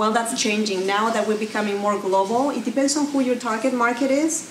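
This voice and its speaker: A woman with a Mexican accent talks at a moderate pace and a fairly high pitch, with ordinary pitch variation. Noticeable background noise and audible room echo surround her voice. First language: Spanish. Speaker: social media marketing speaker. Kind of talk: presentation. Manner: animated, conversational.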